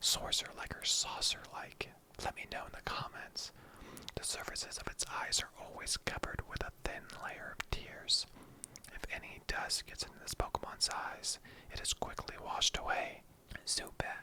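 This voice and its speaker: Whispering at a moderate pace. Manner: soft-spoken, whispering.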